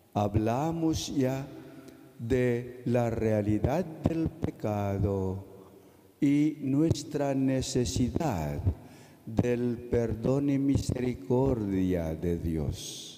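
A man speaks at a medium pitch with a Filipino accent and lively intonation. His pace is very slow, and his loudness stays very even. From Philippines. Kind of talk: sermon. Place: church. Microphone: podium.

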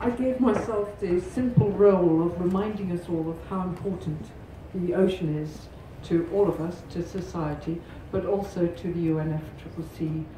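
Through noticeable background noise and audible room echo, a woman talks at a fairly slow pace, her fairly low pitch showing ordinary variation. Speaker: presenter. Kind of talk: conference presentation. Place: hall.

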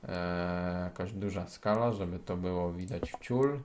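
A man speaks in a very deep, low voice with a Polish accent. His pitch varies in an ordinary way. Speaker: gaming youtuber. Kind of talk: casual gameplay commentary.

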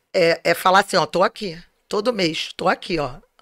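In a bright, sharp tone with ordinary pitch variation, a woman speaks over a quiet background. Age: 50s. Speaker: entrepreneur, organizer of a family fair; guest. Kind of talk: interview. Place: home room. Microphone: studio mic.

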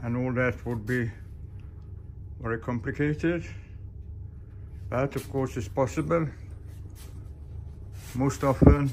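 Long, frequent pauses mark a man's fairly slow speech against noticeable background noise. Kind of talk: casual vlog chat. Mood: relaxed, joking. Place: workshop. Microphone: phone near.

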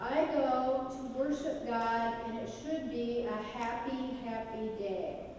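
With strong room echo and noticeable background noise, a woman speaks in a high pitch with fairly even intonation. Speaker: evangelism teacher. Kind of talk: interactive class-style sermon with audience questions, ending in prayer. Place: church.

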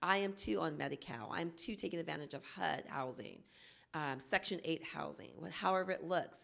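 A woman with an American accent talks at a fairly quick clip in a fairly low voice, with vocal fry and lively intonation, against a quiet background. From Oakland, California; California. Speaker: early childhood planning coordinator; panelist, teacher advocate. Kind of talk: panel discussion. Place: hall. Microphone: handheld.

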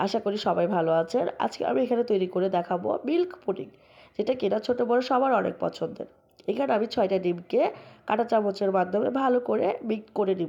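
A woman speaks at a medium pitch with a dark, mellow tone and lively intonation. Her loudness stays very even against a quiet background. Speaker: cooking channel host. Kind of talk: recipe tutorial voice-over.

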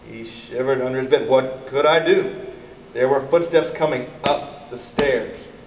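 The voice is an unforced reading voice. It reads the words out plainly without strain.

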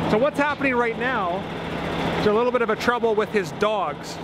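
Loud background noise behind a man with ordinary pitch variation, in a dry sound with no echo. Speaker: vlogger. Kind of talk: casual vlog chat explaining. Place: open country. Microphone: phone near.

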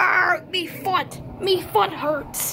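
An extremely high-pitched, put-on character voice over clear background noise. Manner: pained cries.

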